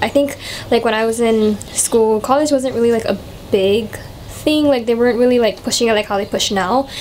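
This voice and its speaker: A woman speaks with a fairly high pitch and fairly even intonation. Noticeable background noise runs behind her. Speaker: vlogger, college student. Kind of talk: casual chat. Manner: casual, many fillers.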